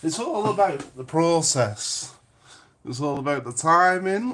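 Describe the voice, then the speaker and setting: In a Lancashire accent, a man speaks at a very slow pace with a fairly high pitch and very wide pitch swings. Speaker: paranormal investigator and medium. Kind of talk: casual chat. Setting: kitchen, live stream.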